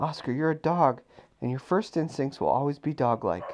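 A man talks at a moderate pace in a fairly high pitch. Vocal fry runs through his voice. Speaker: parent reading bedtime story to child. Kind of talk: reading aloud.

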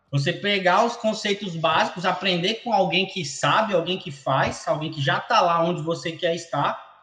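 With audible room echo, a man with a high pitch talks at a moderate pace, using ordinary pitch variation and hardly any pauses. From São Paulo state, Brazil; raised partly in Natal. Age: 20s. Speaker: marketing and sales entrepreneur. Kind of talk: interview. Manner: frequent filler hesitations and repeated words.

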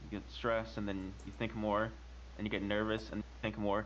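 A man speaks with a very deep, low pitch and vocal fry. His pace is fairly quick, with very wide pitch swings. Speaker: podcast co-host. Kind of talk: casual group chat about anxiety.

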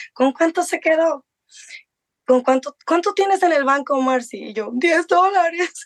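The sound is dry and close, with no echo. Speech moves at a fairly slow pace. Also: woman. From Mexico. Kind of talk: interview testimony.

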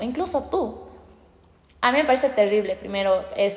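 This woman talks at a fairly quick pace with a high pitch. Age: 20s. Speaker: law and psychology student. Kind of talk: casual interview.

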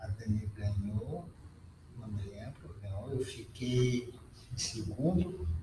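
A man's dark, mellow, somewhat breathy voice, fairly low in pitch, very slow, with lively intonation and long, frequent pauses. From southern Brazil, Rio Grande do Sul. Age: 50s. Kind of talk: casual interview.

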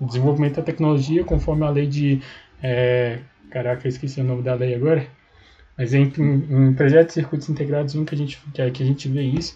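A man talks at a very fast pace with fairly high pitch and a dark, mellow tone. His delivery is somewhat breathy and monotone, over a quiet background. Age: 20s. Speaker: engineering student. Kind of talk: casual interview. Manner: hesitant, many fillers.

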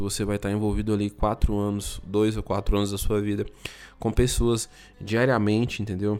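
A man speaks at a fairly low pitch. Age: 30s. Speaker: IT professional and content creator. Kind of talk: solo podcast monologue. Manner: halting.

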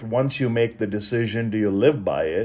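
Dark and mellow in tone, a man speaks at a medium pitch and a moderate pace with ordinary pitch variation. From India. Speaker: author and speaker, podcast host. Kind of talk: reflective solo monologue. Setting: recording while traveling abroad.

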